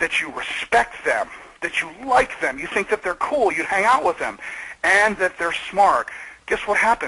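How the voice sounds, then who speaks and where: A loud, animated man with an American accent, high in pitch, at a moderate pace with lively intonation over noticeable background noise. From US Midwest, Michigan. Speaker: video marketing expert. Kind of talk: webinar interview. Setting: webinar call.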